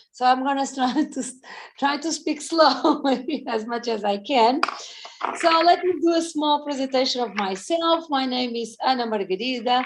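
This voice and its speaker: This woman has a high pitch and a Portuguese accent. Her pitch variation is ordinary. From Portugal. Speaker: fitness coach. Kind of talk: presentation.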